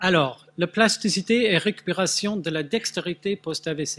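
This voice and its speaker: A man speaks at a very slow pace with a slight Swedish accent. The recording is very clean with a silent background and a dry, close sound with no echo. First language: Swedish (speaking French). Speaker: neuroscience researcher. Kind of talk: conference talk. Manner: halting, many hesitations.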